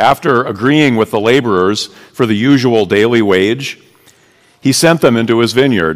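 A man talks at a moderate pace in an ordinary speaking voice, medium in pitch with ordinary pitch variation. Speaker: pastor. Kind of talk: reading aloud. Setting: church.

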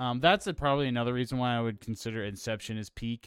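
A man in an ordinary speaking voice, medium in pitch, at a fairly quick pace. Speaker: podcast host. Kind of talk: casual chat. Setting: remote call.

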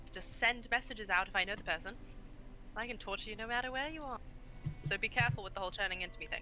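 The speech comes at a very fast pace with lively intonation. There are long, frequent pauses. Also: woman, fairly high pitch for a woman. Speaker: player. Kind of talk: tabletop roleplaying game, casual in-character chat.

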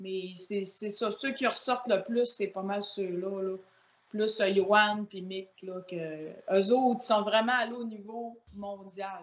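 The speech moves at a very slow pace, with fairly even intonation and big swings in loudness. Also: woman, medium pitch for a woman. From Quebec, Saguenay (La Baie). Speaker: powerlifter. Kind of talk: casual chat.

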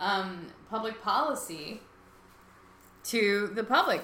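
A woman talks while noticeable noise is present in the background. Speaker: podcast host. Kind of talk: live call-in talk show. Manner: halting.

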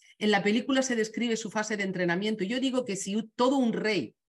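Her Castilian accent clear, a woman speaks at a moderate pace and a fairly high pitch with ordinary pitch variation. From Spain. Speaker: communication trainer. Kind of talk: webinar talk.

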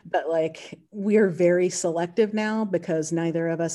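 With an American accent, a woman speaks in a fairly low pitch. Her tone is dark and mellow, and her intonation fairly even. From North Carolina. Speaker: chef and food business owner. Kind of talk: casual chat.

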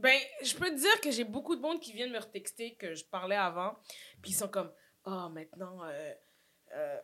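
Her tone is bright, sharp and animated, at a fairly high pitch with very wide pitch swings and big swings in loudness. This woman keeps a moderate pace broken by long, frequent pauses. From Montreal (Saint-Michel), Quebec. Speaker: actress and social media personality. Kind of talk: casual chat. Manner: animated, laughs often.

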